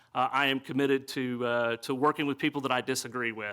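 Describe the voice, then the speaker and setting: A man at medium pitch with a Southern US accent, very fast, bright and sharp in tone, in a monotone, flat intonation. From US South, East Tennessee. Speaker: city council candidate. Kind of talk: candidate forum speech. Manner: halting, many fillers.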